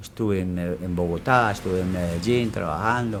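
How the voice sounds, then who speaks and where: Here a man speaks with a very deep, low pitch. He talks fairly slowly. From Colombia, Risaralda (Belén de Umbría). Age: 70s. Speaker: elderly resident interviewee. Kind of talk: interview. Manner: halting, with fillers and repetitions.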